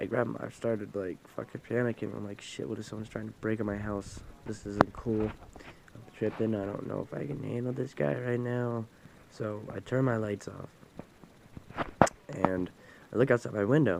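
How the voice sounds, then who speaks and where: There is noticeable background noise behind this man. His fairly low voice moves at a moderate pace with ordinary pitch variation. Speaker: vlogger. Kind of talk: casual storytelling vlog. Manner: loud; halting, repetitive.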